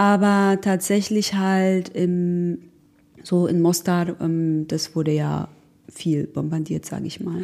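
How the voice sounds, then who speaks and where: A woman speaks at a very slow pace and a medium pitch. Her tone is dark and mellow, with ordinary pitch variation. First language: Croatian/Bosnian (speaking German). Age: 30s. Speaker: war refugee, technical assistant, mother. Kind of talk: personal life story interview. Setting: on holiday in Saint-Tropez.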